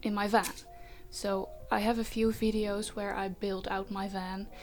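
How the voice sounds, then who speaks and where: Speaking at a very slow pace, a woman has a Dutch accent. Her pitch is fairly high. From Netherlands. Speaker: vanlife vlogger. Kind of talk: Q&A vlog. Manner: casual with many fillers.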